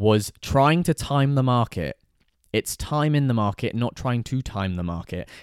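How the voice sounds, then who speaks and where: Lively intonation from a man with a British accent, at a moderate pace, with a dry, close sound and no echo. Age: 20s. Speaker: lifestyle and money vlogger. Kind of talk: casual solo monologue. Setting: in a house.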